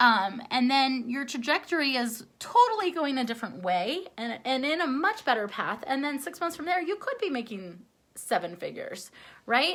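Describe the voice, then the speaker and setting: The speech moves at a moderate pace. Its pitch swings very widely. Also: woman, high pitch for a woman. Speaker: life coach. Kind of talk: motivational talk to viewers. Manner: halting, self-correcting.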